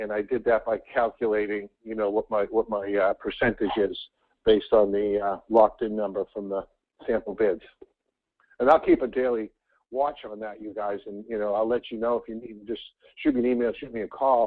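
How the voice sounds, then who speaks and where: A man talks at a fairly quick pace in a medium pitch with monotone, flat intonation, his loudness swinging widely. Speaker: team trainer. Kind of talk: training call. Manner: halting.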